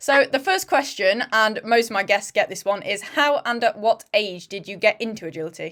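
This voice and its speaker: Here a woman with a British accent talks at a moderate pace, with hardly any pauses. Her pitch sits fairly high, and her intonation is lively. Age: 20s. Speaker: podcast host, dog agility competitor. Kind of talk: casual interview.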